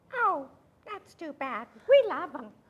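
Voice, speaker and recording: A woman uses a put-on character voice, pitched high with very wide swings up and down. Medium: stage play. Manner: friendly, warm.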